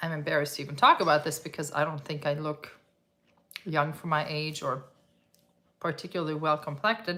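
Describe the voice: In a raspy, put-on character voice, the delivery runs at a fairly quick pace with long, frequent pauses and fairly even intonation. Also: woman, very deep, low pitch for a woman.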